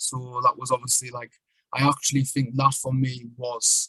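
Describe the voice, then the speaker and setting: In a strong northeast English accent, a man speaks with monotone, flat intonation. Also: dry, close sound with no echo. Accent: strong northern English (North East). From northern England (Sunderland, North East). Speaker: poet and traveller. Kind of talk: podcast interview, life story. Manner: casual, many fillers.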